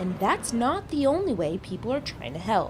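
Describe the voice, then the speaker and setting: A woman's fairly high voice at a moderate pace, pitch swinging very widely, with music in the background. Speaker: news reporter. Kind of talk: TV news report.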